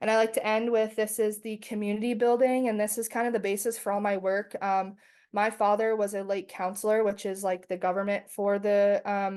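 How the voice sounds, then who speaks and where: Speaking with a Canadian accent at a medium pitch, a woman talks fairly quickly with hardly any pauses and flat, monotone intonation over a quiet background. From Canada, First Nations reservation. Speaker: doctoral student researcher. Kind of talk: presentation. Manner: fast.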